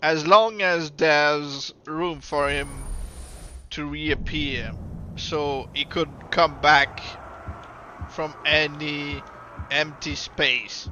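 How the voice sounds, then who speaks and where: Someone talks at a very slow pace in a Quebec accent. Long, frequent pauses break up the speech. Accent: Québécois French accent in English. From Quebec, Canada. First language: French. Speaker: gaming streamer. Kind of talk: live gameplay commentary. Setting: live stream.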